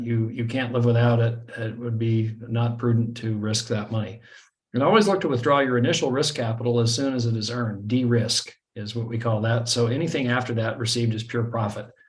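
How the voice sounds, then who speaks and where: Audible room echo surrounds a man's medium-pitched, somewhat breathy voice. He talks at a fairly quick pace with fairly even intonation. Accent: American. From US. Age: 60s. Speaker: online trading marketer. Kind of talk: webinar presentation. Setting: video call. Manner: hesitant, many fillers.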